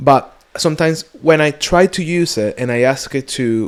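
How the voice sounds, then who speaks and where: With a Spanish accent, a man speaks at a fairly high pitch with ordinary pitch variation. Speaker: podcast co-host. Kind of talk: casual chat. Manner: halting.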